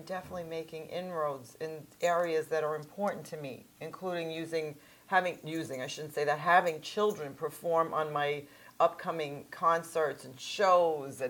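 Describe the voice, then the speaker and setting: A woman at a fairly low pitch and moderate pace, a normal speaking voice, fairly even intonation and big swings in loudness. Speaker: opera singer. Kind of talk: interview.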